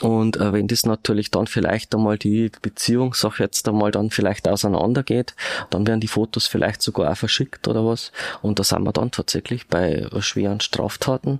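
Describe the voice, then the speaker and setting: In an ordinary speaking voice, a man with a fairly low pitch talks at a moderate pace with fairly even intonation and very even loudness, the sound dry and close with no echo. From Regensburg, Bavaria. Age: 50s. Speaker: police detective. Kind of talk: interview.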